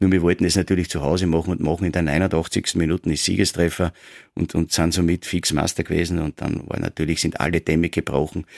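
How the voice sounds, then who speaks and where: With a Styrian accent, a man with a very deep, low pitch speaks at a very fast pace in a monotone, flat intonation, with a dry, close sound with no echo on a very clean recording with a silent background. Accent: Styrian Austrian German. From Austria, Styria (Graz). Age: 50s. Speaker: football coach and former player. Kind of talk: casual interview.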